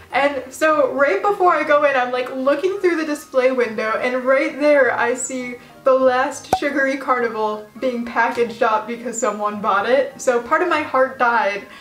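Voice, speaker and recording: Over noticeable background noise and audible room echo, a woman with an American accent speaks at a high pitch with ordinary variation and hardly any pauses. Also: moderate pace. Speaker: lolita fashion vlogger. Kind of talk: casual storytime vlog. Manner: stutters; animated.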